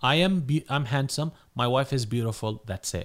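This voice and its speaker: Speaking at a moderate pace with lively intonation, a man with an Arabic accent and a medium pitch is heard in a very clean recording with a silent background. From North Africa. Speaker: imam and Islamic scholar. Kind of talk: religious talk in podcast interview.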